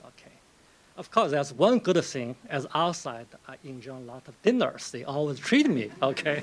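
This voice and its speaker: Someone with a Chinese accent talks at a fairly slow pace. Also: man. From China. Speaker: novelist. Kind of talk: lecture. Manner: conversational, with frequent fillers.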